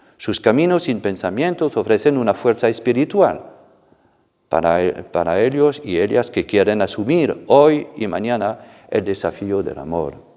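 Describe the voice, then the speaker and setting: Speaking at a fairly slow pace with a non-native accent, a man has a dark, mellow tone at medium pitch and very wide pitch swings. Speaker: church official. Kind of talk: formal address.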